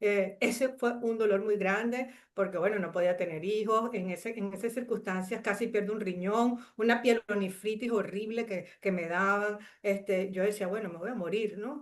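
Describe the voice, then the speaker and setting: With a Venezuelan accent, a woman speaks in fairly even intonation. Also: medium pitch for a woman, moderate pace, hardly any pauses. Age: 60s. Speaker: chemist and coach sharing life story. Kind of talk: interview testimony. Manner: hesitant with many fillers.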